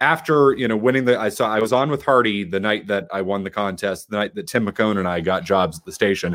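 Ordinary pitch variation marks this voice, which moves at a fairly quick pace. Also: man, fairly low pitch for a man. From Boston area, South Shore. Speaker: sports radio host. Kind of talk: casual chat.

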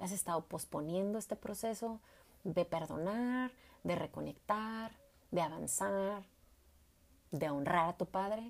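A woman speaks in a warm tone at a fairly slow pace, with ordinary pitch variation and long, frequent pauses. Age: 40s. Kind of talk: faith-based personal testimony. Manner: warm, hesitant with repetitions.

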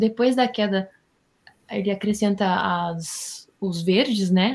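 A woman speaks at a very slow pace in a medium pitch. Her voice is somewhat breathy, with fairly even intonation. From Rio Grande do Sul, Brazil. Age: 20s. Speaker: Bible study guest. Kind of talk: Bible study discussion.

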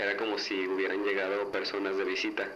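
Moderately paced male speech amid noticeable background noise and audible room echo. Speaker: student sharing paranormal story. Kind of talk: testimony.

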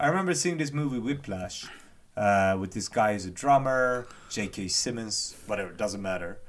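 Here a man speaks at a moderate pace with a fairly low pitch. His intonation is lively, and room echo is audible. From Japan. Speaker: podcast co-host. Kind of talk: casual chat.

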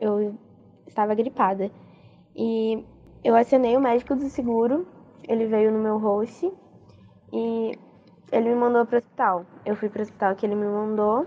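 A woman's fairly high voice with fairly even intonation, at a moderate pace broken by long, frequent pauses. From Brazil, Cuiabá. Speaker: exchange student. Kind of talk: interview testimony.

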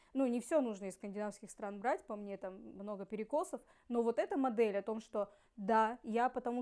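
A woman speaks in an ordinary speaking voice, fairly high in pitch. Her pace is moderate, with ordinary pitch variation. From Russian Far East, Ussuriysk. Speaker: podcast co-host. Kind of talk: casual chat.

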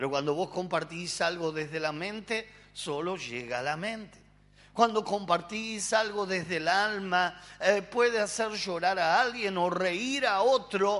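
In a Rioplatense accent, a man speaks at a very slow pace. His pitch is high and his intonation lively. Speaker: pastor. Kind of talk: sermon.

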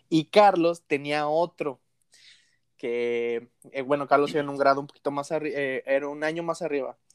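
Recorded dry and close with no echo, a man speaks at a moderate pace with a fairly high pitch and fairly even intonation. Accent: Mexican. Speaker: podcast host. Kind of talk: casual chat.

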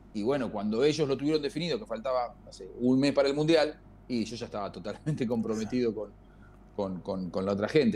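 A man with a Rioplatense accent talks at a fairly quick pace. His medium-pitched voice has a dark, mellow tone. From Argentina. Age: 50s. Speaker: football commentator. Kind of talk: casual chat.

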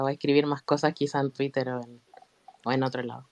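A woman speaks with a Chilean accent. The sound is dry and close, with no echo. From Chile, Santiago. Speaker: fan. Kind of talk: casual group chat.

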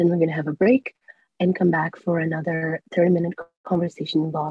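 At a fairly quick pace, a woman speaks with a fairly low pitch, somewhat breathy, with fairly even intonation. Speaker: student panel moderator. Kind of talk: panel moderation.

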